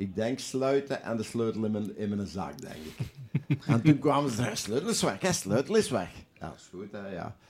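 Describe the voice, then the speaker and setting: Lively intonation and a moderate pace from a man with a plain, everyday voice pitched in the medium range. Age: 60s. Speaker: football club kit manager and goalkeeper coach. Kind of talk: casual chat with anecdotes. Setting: studio.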